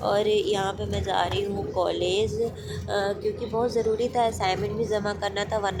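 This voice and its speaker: Female speech in audible room echo, with background music. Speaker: vlogger. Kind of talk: vlog voice-over narration. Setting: on a bus.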